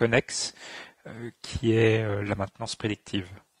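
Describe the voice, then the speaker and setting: A man speaks at a fairly low pitch and sounds somewhat breathy. The recording is very clean with a silent background, and the sound is dry and close with no echo. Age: 30s. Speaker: engineer. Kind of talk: interview testimony. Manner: halting, many filler sounds.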